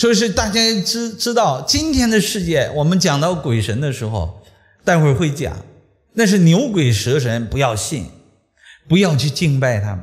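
This man's pitch swings very widely as he talks at a moderate pace against a quiet background. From Shandong, China. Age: 50s. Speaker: lecturer on traditional Chinese metaphysics. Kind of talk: public lecture. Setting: lecture hall with live audience. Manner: animated. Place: classroom. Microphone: podium.

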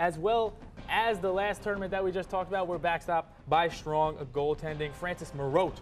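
A man's high-pitched voice with fairly even intonation, faint music in the background. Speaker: studio analyst. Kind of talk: sports commentary. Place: studio. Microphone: lapel.

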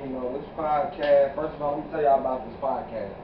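Amid noticeable background noise, a man talks with fairly even intonation. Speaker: podcast host. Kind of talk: casual vlog chat. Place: home room. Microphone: camera far.

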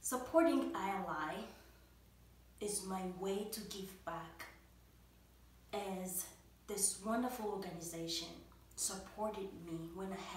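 Very slow speech from a woman, medium-pitched with fairly even intonation, audible room echo and light background noise. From Democratic Republic of the Congo. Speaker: college student and nonprofit board member. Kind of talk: prepared testimonial speech. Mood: warm, grateful.

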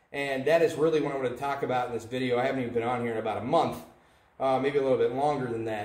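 Audible room echo surrounds a man speaking at a very fast pace. His intonation stays fairly even. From United States. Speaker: independent Baptist soul winner vlogger; preacher. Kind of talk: religious video monologue. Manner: hesitant, with filler words. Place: home room. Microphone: camera far.

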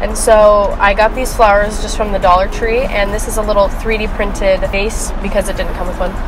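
A woman at a fairly quick pace, dry sound with no echo, and music in the background. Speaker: car owner vlogger. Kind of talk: casual vlog tour. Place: car.

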